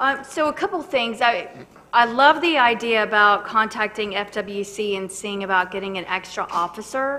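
A woman's bright, sharp tone at medium pitch, with ordinary pitch variation and a moderate pace

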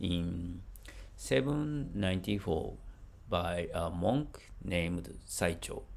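This man's voice has vocal fry and very wide swings in pitch. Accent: Japanese. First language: Japanese. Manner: halting, with hesitations.

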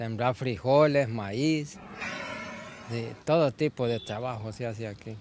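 At a fairly slow pace, a man of medium pitch speaks with ordinary pitch variation and big swings in loudness, with noticeable background noise behind him. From Honduras, El Negrito, Yoro. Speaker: local resident interviewed on the street. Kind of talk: street interview. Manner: halting, repeats words.

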